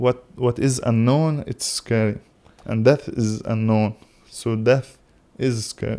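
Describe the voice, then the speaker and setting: Very slowly and with fairly even intonation, a man speaks in a dark, mellow tone with an Arabic accent. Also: medium pitch for a man. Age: young. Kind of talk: casual philosophical conversation. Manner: halting.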